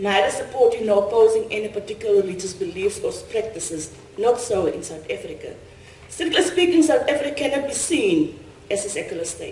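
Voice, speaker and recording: A woman talks fairly quickly in a high voice with very wide pitch swings. Audible room echo and light background noise are present. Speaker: conference speaker. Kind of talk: lecture. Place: hall. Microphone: podium.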